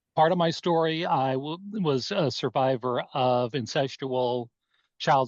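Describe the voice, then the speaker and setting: Against a quiet background, a man with a plain, everyday voice speaks at medium pitch and a fairly slow pace, with ordinary pitch variation and a dry, close sound with no echo. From US West (Oregon). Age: 60s. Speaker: abuse survivor and life coach. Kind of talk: testimony.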